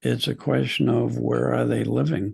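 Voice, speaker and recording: This man's voice sits very deep and low, with vocal fry running through it. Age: 70s. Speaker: psychologist and spiritual teacher. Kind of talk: webinar talk answering questions. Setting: video call.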